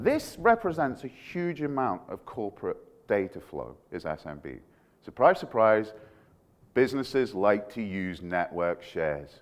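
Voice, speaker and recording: Animated in tone, a man talks with very wide pitch swings and big swings in loudness. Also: fairly slow pace. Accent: Scottish. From Scotland. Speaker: security researcher. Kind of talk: conference talk.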